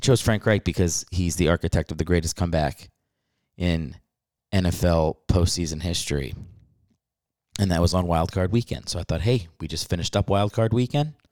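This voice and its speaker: A man speaks at a moderate pace in a very deep, low pitch with ordinary pitch variation and long, frequent pauses. The sound is dry and close with no echo, on a very clean recording with a silent background. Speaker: podcast host and stand-up comedian. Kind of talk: casual chat. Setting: home recording late at night. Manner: talking quietly.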